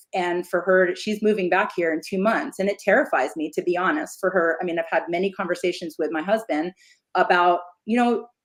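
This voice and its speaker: A woman with an American accent speaks in an unremarkable speaking voice at a medium pitch, keeping a fairly quick pace and ordinary pitch variation. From Philadelphia, US. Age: 50s. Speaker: yarn dyer, former teacher. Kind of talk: casual chat.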